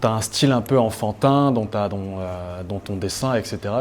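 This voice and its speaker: A man speaks in a normal speaking voice at a fairly low pitch. His pace is moderate and his pitch varies in an ordinary way. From Cameroon. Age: 30s. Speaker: painter. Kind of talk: interview answer.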